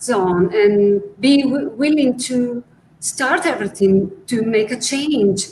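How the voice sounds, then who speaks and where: A woman talks in an Italian accent. Noticeable background noise is present. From Italy. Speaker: art conservator. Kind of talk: interview.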